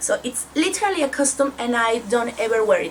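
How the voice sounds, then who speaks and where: In a Spanish accent, the speaker moves at a fairly slow pace with lively intonation, over noticeable background noise. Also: woman. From Mexico. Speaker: book vlogger. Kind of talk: casual book review vlog.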